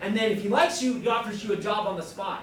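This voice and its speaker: A man at a high pitch and very fast pace, with audible room echo and noticeable background noise. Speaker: vocational school representative. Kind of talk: school presentation to students. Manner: casual, conversational.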